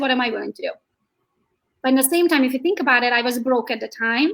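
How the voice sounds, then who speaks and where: A woman speaks in a high pitch with a Hungarian accent. Her pitch varies in an ordinary way. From Hungary. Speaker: real estate agent. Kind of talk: interview. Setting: live video stream. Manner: animated.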